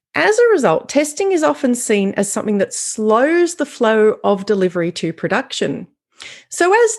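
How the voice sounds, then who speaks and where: Over a quiet background, a woman with an Australian accent speaks slowly-ish, her fairly high voice making very wide pitch swings. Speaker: software quality consultant. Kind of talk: conference keynote. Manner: clear, deliberate.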